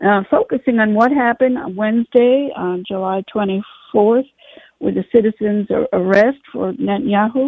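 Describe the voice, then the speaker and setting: A woman with an unremarkable speaking voice talks at a moderate pace, her pitch fairly high with ordinary variation. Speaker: radio host. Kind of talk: radio interview.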